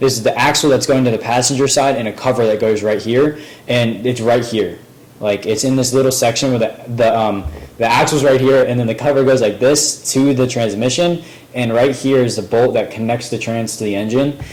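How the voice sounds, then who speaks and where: Amid noticeable background noise, a man of medium pitch speaks at a fairly quick pace with fairly even intonation. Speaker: DIY car repair youtuber. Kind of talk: tutorial. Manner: fast; hesitant, many fillers.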